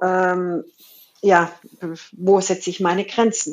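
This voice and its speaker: Words come at a very slow pace over a quiet background. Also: woman. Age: 50s. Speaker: business coach and podcast host. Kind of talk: conversational interview.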